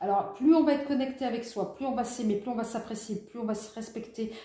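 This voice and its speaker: A woman with a fairly high pitch speaks with ordinary pitch variation over noticeable background noise. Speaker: tarot reader. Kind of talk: tarot reading guidance.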